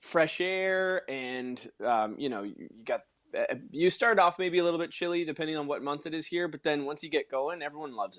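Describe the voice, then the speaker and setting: A man with a normal speaking voice talks at a fairly high pitch and a fairly quick pace, with hardly any pauses. His intonation is lively and his loudness swings widely. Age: young. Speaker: personal trainer and actor. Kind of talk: casual chat.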